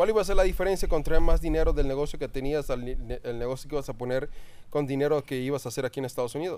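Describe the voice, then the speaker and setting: This man speaks at a very fast pace with ordinary pitch variation. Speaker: podcast host. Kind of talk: casual interview. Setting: home recording.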